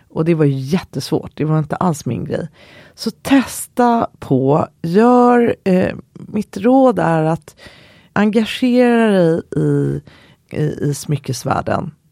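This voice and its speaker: This woman's voice sits fairly low and has a dark, mellow tone. She talks very slowly, with very wide swings in pitch. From Sweden, Skokloster (Uppland countryside). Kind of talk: interview.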